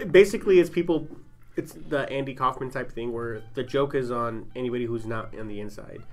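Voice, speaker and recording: With music in the background, a man speaks at a medium pitch and a fairly quick pace, showing ordinary pitch variation and big swings in loudness. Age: 30s. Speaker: podcast host. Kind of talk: casual chat. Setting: studio tent.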